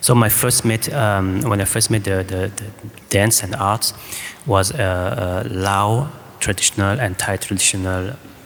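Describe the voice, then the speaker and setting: Over noticeable background noise, a man speaks fairly slowly in a fairly low pitch. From France. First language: French. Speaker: choreographer. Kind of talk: panel discussion answer. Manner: halting.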